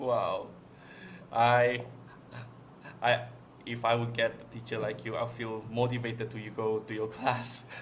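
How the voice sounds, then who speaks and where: A man's somewhat breathy, medium-pitched voice comes through with audible room echo, monotone, flat intonation, big swings in loudness, and long, frequent pauses. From Malaysia. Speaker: podcast host. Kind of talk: podcast interview. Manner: halting.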